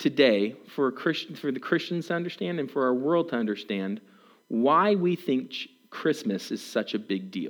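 With an American accent, a man talks with very wide pitch swings. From Germany (American family abroad). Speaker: guest preacher. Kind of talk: sermon. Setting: church.

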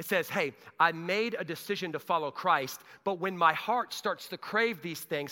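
An animated man's raised, projected voice, bright and sharp in tone, with lively intonation at a moderate pace, in a very clean recording with a silent background. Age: 40s. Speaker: pastor. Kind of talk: sermon. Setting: church.

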